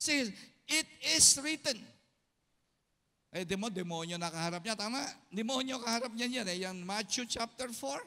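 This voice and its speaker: A man speaks in a raised, projected voice at high pitch with a bright, sharp tone and lively intonation. He keeps a moderate pace, broken by long, frequent pauses. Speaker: pastor. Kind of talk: sermon. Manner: loud; animated.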